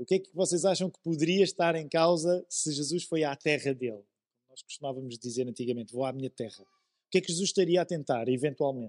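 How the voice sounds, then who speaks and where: Recorded dry and close with no echo, a man speaks at a fairly quick pace, with ordinary pitch variation and big swings in loudness. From Portugal, Amadora (Lisbon area). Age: 40s. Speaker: pastor. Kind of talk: sermon.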